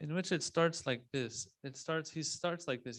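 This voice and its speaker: A man with ordinary pitch variation. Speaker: Islamic religious speaker. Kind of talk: religious lecture.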